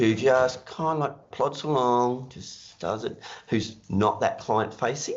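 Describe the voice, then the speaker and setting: A man with an Australian accent, at a very slow pace, with ordinary pitch variation. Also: medium pitch for a man. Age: 60s. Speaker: accounting business mentor. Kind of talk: podcast interview.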